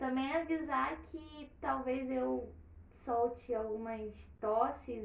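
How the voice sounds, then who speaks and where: A woman with a high voice speaks with ordinary pitch variation. Audible room echo and noticeable background noise fill the recording. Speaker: storyteller and live stream host. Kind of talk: casual chat before story reading. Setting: online live stream.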